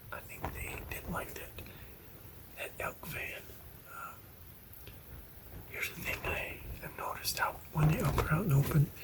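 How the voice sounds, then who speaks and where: With long, frequent pauses, someone whispers at a moderate pace while noticeable noise sounds in the background. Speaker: bowhunter. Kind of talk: vlog narration. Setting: outdoors. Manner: halting.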